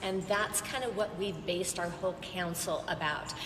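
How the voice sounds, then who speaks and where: A woman speaks at a medium pitch in a monotone, flat delivery, with audible room echo and noticeable background noise. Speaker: roofing business owner on panel. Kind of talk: panel discussion.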